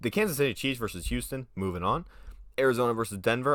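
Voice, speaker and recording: A man speaks at a very fast pace in an animated, bright, sharp tone. The recording is very clean, with a silent background. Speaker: sports fan commentator. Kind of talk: solo predictions monologue. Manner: casual, animated.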